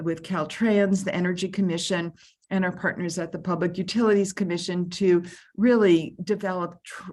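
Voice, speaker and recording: Against a quiet background, a woman speaks in a flat monotone. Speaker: state labor agency official. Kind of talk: panel presentation. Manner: fast.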